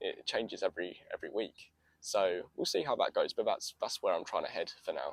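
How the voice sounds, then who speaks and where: The man talks at a fairly quick pace. He has a London accent. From North London, England. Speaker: TikTok creator, blind footballer. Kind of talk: podcast interview. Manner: articulate.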